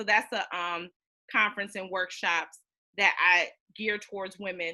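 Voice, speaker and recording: The woman's tone comes across bright and sharp. Her pitch is medium. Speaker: business coach. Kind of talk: panel talk. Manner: fast.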